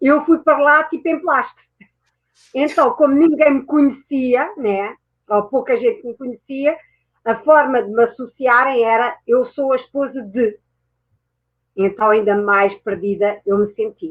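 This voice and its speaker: A woman with a European Portuguese accent speaks at a high pitch and a fairly slow pace. Her intonation is lively, broken by long, frequent pauses. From France and Portugal. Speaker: mindset mentor and therapist. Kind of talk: interview. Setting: online talk show.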